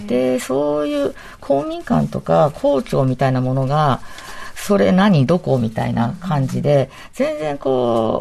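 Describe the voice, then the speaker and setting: Noticeable background noise runs under a woman who talks very slowly. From Ibaraki, Japan. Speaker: architecture and urban design figure. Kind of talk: radio panel discussion.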